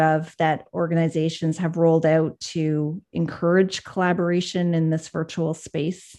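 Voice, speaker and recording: A plain, everyday voice, a woman's at a fairly low pitch, at a moderate pace, against a quiet background. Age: 40s. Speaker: podcast host, leadership coach. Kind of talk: interview.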